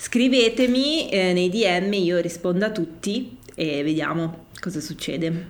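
A woman's fairly low voice, very slow yet with hardly any pauses, in a lively intonation. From Milan, northern Italy. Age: 30s. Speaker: social media community creator. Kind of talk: casual chat.

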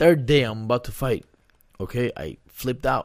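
A man with a plain, everyday voice, medium pitch, ordinary pitch variation and moderate pace, on a very clean recording with a silent background. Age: 30s. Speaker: retired MMA fighter. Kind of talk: casual interview.

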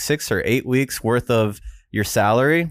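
A man with an American accent speaks at a moderate pace and medium pitch in an unremarkable speaking voice, the sound dry and close with no echo, on a very clean recording with a silent background. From Florida. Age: 30s. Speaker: podcast host and video editor. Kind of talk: casual chat. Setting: office podcast room.

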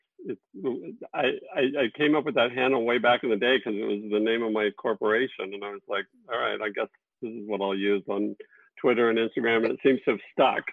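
Here is a man with an unremarkable speaking voice and an American accent. He talks at a moderate pace with medium pitch and fairly even intonation. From Texas. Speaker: TV director and producer. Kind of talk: casual video interview. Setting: video call.

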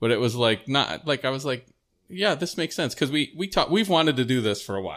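Lively intonation carries a man's speech at a very fast pace. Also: medium pitch for a man, very clean recording, silent background. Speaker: podcast host. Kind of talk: casual interview. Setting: at guest's home. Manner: halting.

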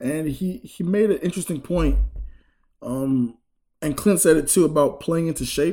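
With a high pitch, a man talks at a moderate pace. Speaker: sports reporter covering the team. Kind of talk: casual sports chat.

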